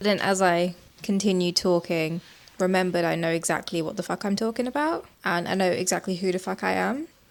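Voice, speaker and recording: At a fairly quick pace, a woman speaks in a medium pitch. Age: 30s. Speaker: lifestyle vlogger. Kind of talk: casual vlog narration. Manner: casual; fast.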